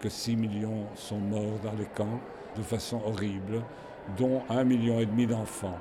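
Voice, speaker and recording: Monotone and flat, a man's medium-pitched voice proceeds at a fairly slow pace. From Belgium. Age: 80s+. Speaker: Holocaust survivor and collector. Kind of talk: interview testimony. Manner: halting, with fillers and repetitions.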